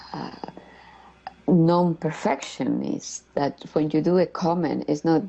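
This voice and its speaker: A woman with a Colombian accent speaks very slowly at a very deep, low pitch with fairly even intonation. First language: Spanish. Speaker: community member, former refugee. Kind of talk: interview. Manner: halting, many fillers.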